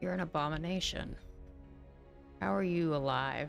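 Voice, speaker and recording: A put-on character voice sits at a middle pitch. Clear music plays in the background. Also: moderate pace. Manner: angry, through gritted teeth.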